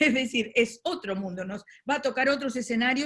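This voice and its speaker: A woman with a Uruguayan accent, fairly high pitch and a fairly quick pace. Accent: Rioplatense Spanish (Uruguay). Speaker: moderator. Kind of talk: webinar moderation. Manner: fast.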